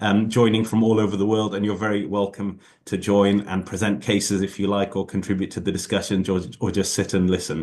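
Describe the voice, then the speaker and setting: A man with a British accent, fairly low-pitched, at a fairly quick pace. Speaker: ophthalmologist giving invited lecture. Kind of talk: lecture. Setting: video call. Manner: fast; hesitant with many fillers.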